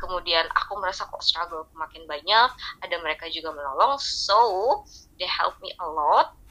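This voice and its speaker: With a bright, sharp tone, a woman speaks at a medium pitch. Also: lively intonation, moderate pace, big swings in loudness. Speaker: hospital worker and K-pop fan. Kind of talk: casual chat.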